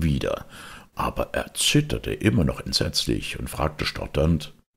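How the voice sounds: A man speaks at an extremely low pitch with vocal fry and a slightly husky edge. His pitch swings very widely at a fairly slow pace.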